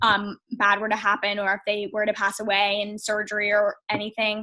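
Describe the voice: A woman talks at a fairly quick pace in a medium pitch, her tone bright and sharp but her intonation monotone and flat.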